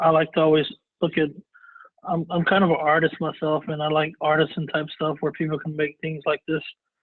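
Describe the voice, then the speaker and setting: This man's voice sits fairly high and moves at a moderate pace. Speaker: cybersecurity expert giving a webinar. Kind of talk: webinar presentation. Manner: halting with many fillers.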